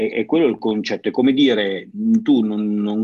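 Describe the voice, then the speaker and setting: A man talks at a moderate pace. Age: 40s. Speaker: CrossFit gym owner and podcast host. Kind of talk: casual interview chat. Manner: halting, repeats words.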